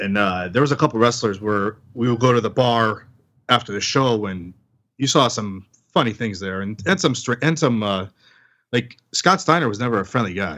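This man has a bright, sharp tone and a medium pitch, talking at a moderate pace. His intonation is lively. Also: very clean recording, silent background. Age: 40s. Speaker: podcast host and guest. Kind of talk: casual chat.

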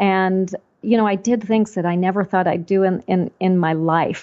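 With an American accent, a woman speaks at a medium pitch. Her pace is moderate. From Texas, Panhandle. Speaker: quilt pattern designer and business owner. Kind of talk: interview.

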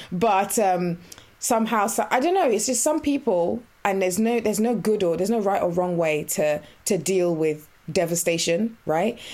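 Lively in intonation, a woman speaks at a moderate pace in a medium pitch with a dark, mellow tone. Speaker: podcast host. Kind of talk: casual chat.

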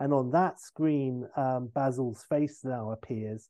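An unforced reading voice carries the whole clip.

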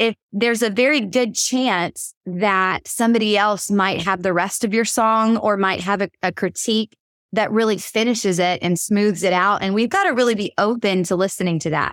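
A woman with a Southern US accent speaks at a medium pitch with fairly even intonation, very even loudness, and hardly any pauses. The recording is very clean with a silent background and a dry, close sound with no echo. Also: moderate pace. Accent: Southern US (Georgia). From US South, Georgia. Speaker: worship leader and songwriter. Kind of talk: interview conversation.

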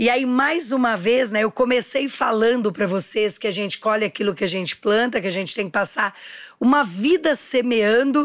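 At a moderate pace, a woman talks in an animated tone with a fairly high pitch. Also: lively intonation. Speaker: entrepreneur. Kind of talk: interview.

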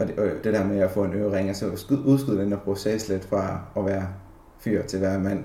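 Somewhat breathy and dark, mellow in tone, a man speaks at a fairly low pitch. His pace is moderate, and there is audible room echo. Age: 20s. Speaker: office worker. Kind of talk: personal reflection interview. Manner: halting, many fillers.

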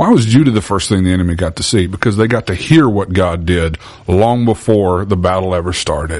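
Animated in tone, a man with a Southern US accent and a very deep, low pitch speaks with ordinary pitch variation. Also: fairly quick pace. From Louisiana. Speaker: podcast host and church minister. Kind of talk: faith-based interview. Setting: church. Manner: animated, preachy.

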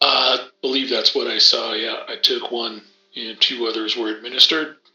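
A raspy, put-on character voice goes at a moderate pace. A slight echo hangs on it. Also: man, medium pitch for a man. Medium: actual play. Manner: calm, matter-of-fact, filler-heavy.

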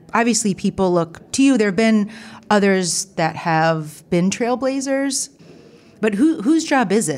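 A woman speaks with a Midwestern US accent. Her pace is moderate. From US Midwest (Ohio). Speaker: podcast host. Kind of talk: interview.

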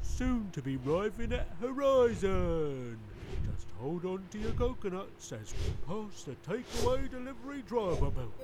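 A man uses a put-on character voice at a high pitch and a moderate pace. Clear background noise runs underneath. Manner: polite, cheerful.

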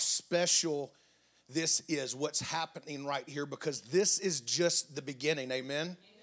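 A man is speaking. He has a Southern US accent. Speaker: guest preacher. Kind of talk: sermon. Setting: church.

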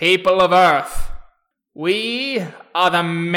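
A put-on character voice, nasal and at a middle pitch. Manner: odd, strange meter.

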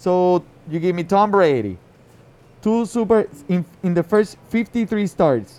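A man with a Spanish accent and a high pitch, at a very slow pace with long, frequent pauses and ordinary pitch variation. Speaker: fantasy football podcast co-host. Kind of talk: casual sports chat. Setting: live recording at a liquor store event.

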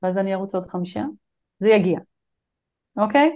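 The background is quiet. Against it, a woman talks fairly quickly, her pitch varying in an ordinary way. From Israel. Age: 50s. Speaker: business consultant. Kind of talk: interview.

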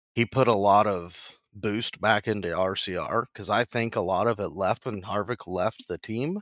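A man with a plain, everyday voice talks at a moderate pace with fairly even intonation, in a dry, close sound with no echo and a quiet background. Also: fairly low pitch for a man. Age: 30s. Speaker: racing podcast co-host. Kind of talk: casual chat.

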